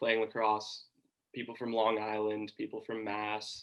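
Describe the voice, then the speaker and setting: The speaker has an American accent. The delivery is fairly slow. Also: man. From US South, Georgia. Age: 20s. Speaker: college sports broadcaster. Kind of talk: interview.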